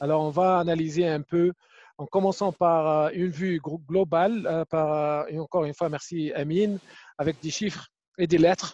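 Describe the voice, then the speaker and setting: A man's high, dark and mellow voice with an Arabic accent and fairly even intonation, dry and close with no echo over a quiet background. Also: moderate pace. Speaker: webinar moderator. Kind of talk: panel moderation.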